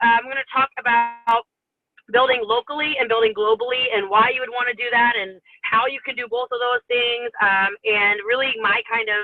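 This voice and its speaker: Music plays in the background as a woman speaks at a high pitch with fairly even intonation. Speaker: network marketing leader. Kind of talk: training talk. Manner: fast.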